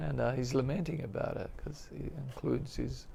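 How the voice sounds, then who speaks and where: A man speaks in a soft-spoken way. Noticeable background noise and audible room echo surround him. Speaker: spiritual teacher. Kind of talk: religious class. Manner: halting, many fillers.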